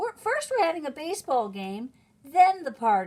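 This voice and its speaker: A woman puts on a character voice, pitched high and swinging very widely up and down. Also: moderate pace. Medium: read story. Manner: cheerful, friendly.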